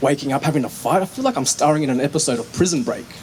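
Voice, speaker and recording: Someone with an Australian accent talks at a very fast pace with lively intonation. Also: man. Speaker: poet and dancer. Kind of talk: casual talk to audience; spoken word poetry performance. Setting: stage with audience.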